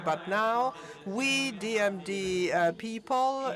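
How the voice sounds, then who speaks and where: A man is speaking. Music plays in the background. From northern Italy, Pordenone. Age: 20s. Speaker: university student, patient advocate. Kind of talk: conference opening speech. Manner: halting, many fillers.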